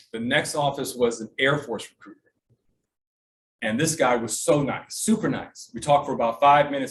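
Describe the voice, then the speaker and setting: A somewhat breathy voice with lively intonation at a moderate pace. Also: man. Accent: American. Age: 60s. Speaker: military veteran telling his life story. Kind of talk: personal storytelling talk at a sales meeting. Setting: meeting with audience.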